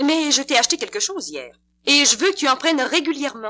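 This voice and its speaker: A raised, projected voice carries a bright, sharp tone. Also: woman. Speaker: radio actress. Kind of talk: dramatized radio commercial.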